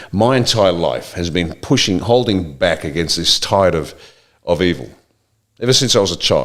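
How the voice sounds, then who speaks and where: Very deep, low male speech, lively in intonation and moderate in pace. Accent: Australian. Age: 60s. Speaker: political commentator. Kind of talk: impassioned monologue. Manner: animated.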